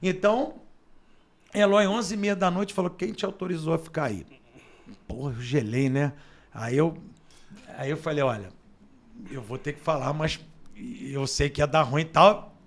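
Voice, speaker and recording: A man with a fairly high voice and lively intonation speaks at a moderate pace, leaving long, frequent pauses. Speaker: radio announcer and sports journalist. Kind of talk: casual interview storytelling. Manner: animated.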